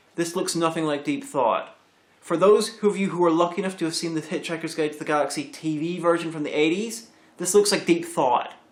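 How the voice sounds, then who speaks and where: Amid noticeable background noise, a man talks at a fairly quick pace in a high-pitched voice. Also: ordinary pitch variation. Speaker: video reviewer. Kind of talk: bloopers from a comedy review recording.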